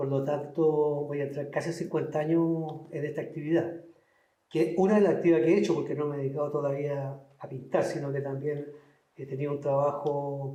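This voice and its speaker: Audible room echo surrounds a man speaking in monotone, flat intonation at a fairly quick pace. His pitch sits fairly high. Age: 60s. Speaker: painter. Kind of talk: interview. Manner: hesitant, many fillers.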